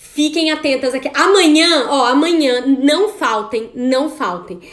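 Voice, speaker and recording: A loud, animated voice at a fairly slow pace, with noticeable background noise. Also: woman. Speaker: women's coaching course host. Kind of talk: live online class.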